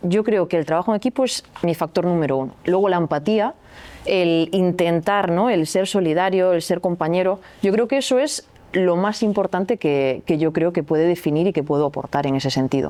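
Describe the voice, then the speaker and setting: A woman with a slight Galician accent speaks at a fairly low pitch and a moderate pace. Her loudness stays very even, and her pitch varies in an ordinary way. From Galicia, Spain. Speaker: athlete and sports coach. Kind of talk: podcast interview. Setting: recording venue.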